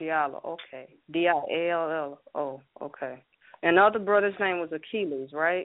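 A woman with a normal speaking voice talks at a fairly low pitch with ordinary pitch variation. Her pace is moderate. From US Midwest. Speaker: radio show caller. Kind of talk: call-in radio question. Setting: phone call.

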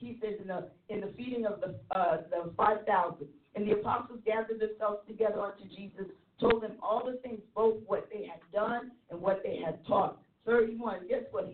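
A woman's fairly high voice, a plain, everyday voice, with ordinary pitch variation, a moderate pace and big swings in loudness. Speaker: church leader panelist. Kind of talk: ministry teaching discussion. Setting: internet radio show.

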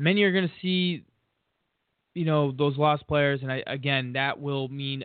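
A man's plain, everyday voice, fairly high in pitch, at a fairly quick pace with ordinary pitch variation. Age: 30s. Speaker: sports betting podcast host. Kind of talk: solo podcast monologue.

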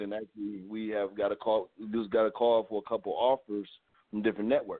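A man talks in a relaxed tone at a fairly quick pace. His pitch sits in the medium range. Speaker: talk show host, actor. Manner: relaxed, conversational, says "you know what I mean" often.

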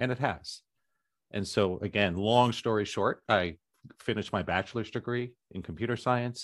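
Using an ordinary speaking voice, a man with an American accent keeps a moderate pace and ordinary pitch variation. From US, culturally conservative area. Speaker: author and spiritual teacher. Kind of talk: interview.

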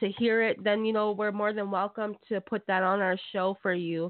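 A woman speaks at a moderate pace in a medium pitch, her intonation monotone and flat. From Canada. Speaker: radio host. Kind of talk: radio hosting. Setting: phone call.

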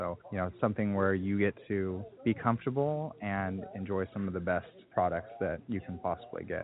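Against music in the background, a man speaks with a fairly low voice. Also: ordinary pitch variation, moderate pace. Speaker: restaurant manager. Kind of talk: interview answers, casual conversational.

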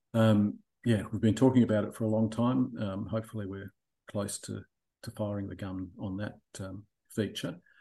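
Speaking in an Australian accent at a moderate pace, a man with a fairly low, dark, mellow voice keeps a monotone, flat intonation, leaves long, frequent pauses and makes big swings in loudness. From Australia (Melbourne). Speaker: boating app managing director, former geologist. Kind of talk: interview. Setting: remote call from Australia in the evening.

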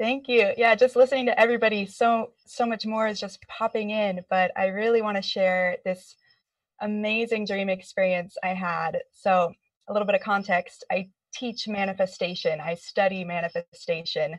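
In a dry, close sound with no echo, a woman with an unremarkable speaking voice speaks at a moderate pace, fairly high in pitch and with fairly even intonation. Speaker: clinical hypnotherapist. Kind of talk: casual group discussion. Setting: video call.

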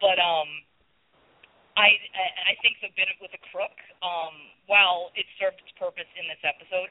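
A woman speaks at a moderate pace and a fairly low pitch, her intonation fairly even, in a dry, close sound with no echo.

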